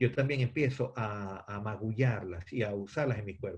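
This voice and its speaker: Intonation is lively in this man's somewhat breathy voice. He keeps a moderate pace. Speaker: theatre actor and director teaching a class. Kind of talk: lecture. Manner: halting, many fillers and repetitions.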